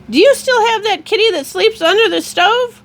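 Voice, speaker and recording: In a put-on character voice, a woman speaks at an extremely high pitch. It is shrill and squeaky, at a moderate pace. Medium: read story. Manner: screechy.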